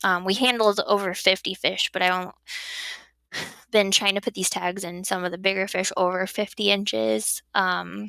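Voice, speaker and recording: A woman with a slight Wisconsin accent speaks at medium pitch in a bright, sharp tone. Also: ordinary pitch variation, moderate pace. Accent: slight Wisconsin accent picked up. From southern Illinois. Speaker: fisheries biologist. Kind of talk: podcast interview.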